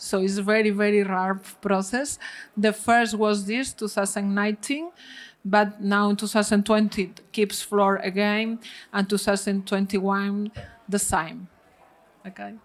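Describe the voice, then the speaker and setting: Speaking at a fairly slow pace with a Spanish accent, a woman holds a medium pitch in a monotone, flat intonation. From Spain, Galicia. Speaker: winemaker. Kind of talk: panel talk at wine tasting. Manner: halting, many fillers.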